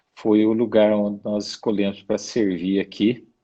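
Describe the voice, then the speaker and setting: Speaking at a very slow pace, a man has a dark, mellow tone and a fairly low pitch. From Brazil, interior of São Paulo state. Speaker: missionary. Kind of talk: interview testimony. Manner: halting.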